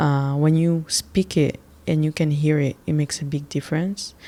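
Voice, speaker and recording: A woman with a French accent speaks in a very deep, low voice with a dark, mellow tone. Her intonation is monotone and flat, and the recording is very clean with a silent background. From Gabon. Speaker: podcast host. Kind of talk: casual monologue. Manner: hesitant, many fillers.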